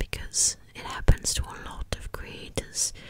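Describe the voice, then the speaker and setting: Over noticeable background noise, a woman whispers in a gentle tone at a very slow pace. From Wales. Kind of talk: ASMR whispered ramble. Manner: whispered, soft, gentle.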